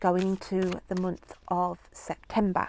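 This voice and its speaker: A woman at medium pitch with a British accent, in dry, close sound with no echo. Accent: regional UK accent, noticeable. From UK. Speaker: tarot reader. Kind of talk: tarot reading video. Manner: casual, chatty with fillers.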